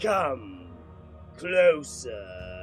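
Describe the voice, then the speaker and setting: Against clear music in the background, a man uses a raspy, put-on character voice with a fairly low pitch and very wide pitch swings. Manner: menacing.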